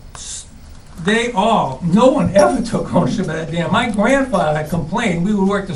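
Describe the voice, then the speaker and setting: Amid noticeable background noise and audible room echo, a man talks at a fairly quick pace with lively intonation. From New England, central Massachusetts. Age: 60s. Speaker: resident. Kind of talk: public meeting testimony. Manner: halting.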